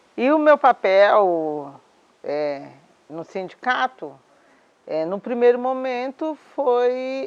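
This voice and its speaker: A woman with a fairly high pitch, very wide pitch swings and a very slow pace. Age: 60s. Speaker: domestic worker and union leader. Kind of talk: interview testimony. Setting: at her home.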